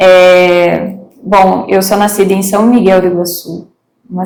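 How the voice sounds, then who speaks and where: A woman talks with a strong southwestern Paraná accent, and room echo can be heard in the recording. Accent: southwest Paraná accent, still strong. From Brazil, Paraná (Mangueirinha, southwest). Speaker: interview guest. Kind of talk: interview, life story.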